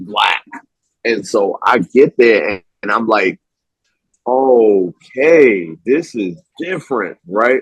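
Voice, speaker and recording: Very slow speech with lively intonation and long, frequent pauses, in a dry, close sound with no echo. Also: man, medium pitch for a man. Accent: American. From New York (Harlem). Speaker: film writer and director. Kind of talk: casual interview chat.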